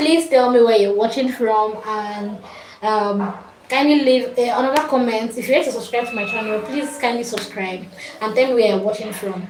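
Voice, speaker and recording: A woman with a Nigerian accent speaks at a moderate pace with a fairly high pitch and ordinary pitch variation. Audible room echo and noticeable background noise fill the recording. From Nigeria, Kogi State. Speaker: fashion accessories maker and craft teacher. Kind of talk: livestream talk to viewers. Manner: halting, many fillers.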